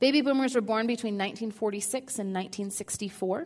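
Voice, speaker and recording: A woman speaks fairly quickly in an ordinary speaking voice, her pitch fairly high. Her pitch variation is ordinary. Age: 30s. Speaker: seminary counseling professor. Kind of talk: talk at a church service. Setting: church.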